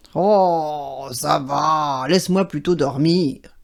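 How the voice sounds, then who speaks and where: Putting on a character voice, a woman growls in a gruff, very deep, low pitch at a very slow pace. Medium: read story. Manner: gruff, growling.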